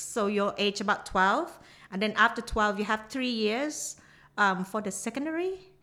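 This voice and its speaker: Her tone bright and sharp, a woman with a Thai accent speaks at a fairly high pitch and fairly slow pace with lively intonation. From southern Thailand (Nakhon Si Thammarat). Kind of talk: casual chat. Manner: halting.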